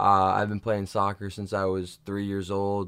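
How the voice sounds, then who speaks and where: This is a man speaking. His pitch is fairly low. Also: very clean recording, silent background. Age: 20s. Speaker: fitness podcast co-host and coach. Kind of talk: casual chat.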